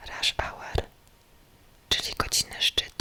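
A woman whispers very slowly in a calm tone, with noticeable background noise behind her. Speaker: ASMR creator. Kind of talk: whispered ASMR gameplay narration. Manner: whispered, close, calm.

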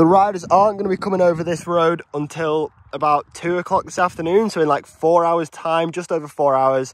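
A man speaks fairly quickly in a high pitch, with hardly any pauses. The sound is dry with no echo. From northwest England. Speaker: pro cyclist vlogger. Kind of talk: casual vlog. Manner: animated. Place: open country. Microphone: phone near.

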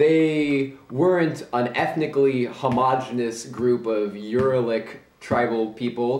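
The man speaks at a very slow pace, with ordinary pitch variation. Audible room echo surrounds his voice. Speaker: amateur video essayist. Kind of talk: casual video essay talk to camera. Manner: hesitant, with filler words. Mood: wry, playful. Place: home room. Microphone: camera far.

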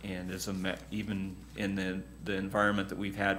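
A man speaks with a very deep, low pitch. There is light background noise. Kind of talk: meeting briefing. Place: meeting room.

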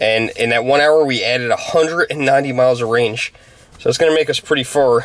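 Speech comes from a man at a fairly quick pace. The intonation is mostly even. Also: dry sound with no echo. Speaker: vlogger. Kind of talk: casual vlog chat. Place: car. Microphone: phone near.

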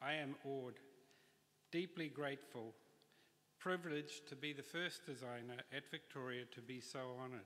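Using a New Zealand accent, a man speaks at a moderate pace and fairly high pitch in a bright, sharp tone with ordinary pitch variation and long, frequent pauses. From New Zealand, Auckland. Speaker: industrial designer receiving honorary degree. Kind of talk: graduation address. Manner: formal. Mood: grateful, formal, uplifting. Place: hall. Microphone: podium.

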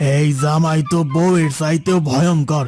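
A man's cartoonish character voice, fairly high in pitch, at a moderate pace, with faint music in the background. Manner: rustic dialect, whining.

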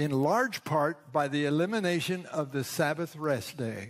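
Very slow delivery from a man with a fairly high pitch and ordinary pitch variation. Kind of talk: sermon. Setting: church. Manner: formal, earnest, pausing for interpreter.

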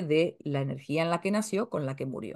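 A woman speaks with a quiet background. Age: 50s. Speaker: astrologer and family-tree course teacher; spiritual teacher. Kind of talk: casual talk to camera. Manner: hesitant, many filler sounds. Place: home room. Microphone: webcam.

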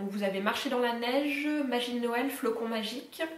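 A woman's high voice at a moderate pace, with ordinary pitch variation and audible room echo. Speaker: book YouTuber. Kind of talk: casual talk to camera, book haul. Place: home room. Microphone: camera far.

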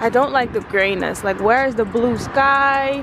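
Her high voice rising and falling with lively intonation, a woman speaks at a fairly slow pace in a dry sound with no echo, over noticeable background noise. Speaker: vlogger. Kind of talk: casual vlog chat. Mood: playful, complaining jokingly. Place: street. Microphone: phone near.

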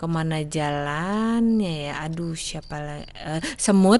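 Her voice sits fairly low for a woman, with lively intonation. She speaks at a very slow pace. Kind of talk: bedtime story reading, repetitive fairy tale. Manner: halting, stumbling and repeating lines, searching for words.

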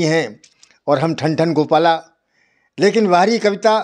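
Speaking at a very slow pace, a man with a fairly high-pitched voice is heard against a quiet background. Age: 80s+. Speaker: poet. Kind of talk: interview. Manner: soft-spoken. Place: home room. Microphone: handheld.

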